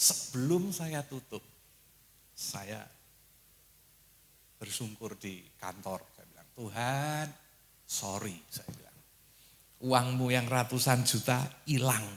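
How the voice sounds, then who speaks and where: A man at medium pitch, very slow, with long, frequent pauses, big swings in loudness and ordinary pitch variation. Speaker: preacher. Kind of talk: sermon. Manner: animated.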